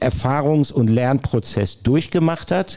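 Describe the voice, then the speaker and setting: This voice has a dark, mellow tone, moves at a moderate pace and shows ordinary pitch variation. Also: man. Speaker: sports reporter. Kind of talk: casual chat. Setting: stage with audience.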